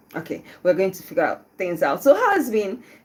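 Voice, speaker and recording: A woman's medium-pitched voice rises and falls in very wide pitch swings. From Nigeria, Southeast (Igbo). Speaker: radio host. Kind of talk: live radio show talk. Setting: radio studio, live on YouTube. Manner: casual, chatty with fillers.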